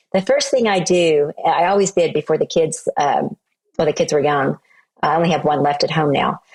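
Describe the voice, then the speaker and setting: Speaking in a normal speaking voice with an American accent, a woman talks at a moderate pace and fairly low pitch, with ordinary pitch variation, very even loudness, and a dry, close sound with no echo. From Oklahoma, US. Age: 60s. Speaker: entrepreneur and speaker. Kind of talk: interview conversation.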